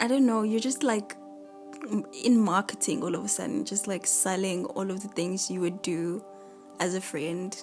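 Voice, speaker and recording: With music in the background, the voice has a relaxed tone and long, frequent pauses. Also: woman. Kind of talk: casual diary-style talk podcast. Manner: rambling, relaxed.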